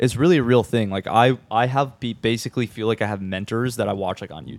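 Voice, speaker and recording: The speaker has a plain, everyday voice and an American accent, with ordinary pitch variation. The recording sounds dry and close, with no echo. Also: man. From Minnesota, Twin Cities area. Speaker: videographer and agency founder. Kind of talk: podcast interview.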